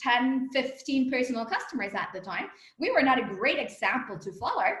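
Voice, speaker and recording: Loud and high-pitched, a woman talks at a moderate pace with audible room echo around her. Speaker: company co-founder and executive. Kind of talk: interview. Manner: animated.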